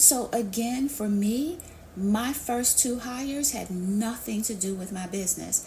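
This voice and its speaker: With an American accent, a woman speaks at a fairly slow pace in a fairly high voice with ordinary pitch variation, against noticeable background noise and audible room echo. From New York City. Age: 50s. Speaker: business coach. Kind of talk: live Q&A interview. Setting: live online audio session.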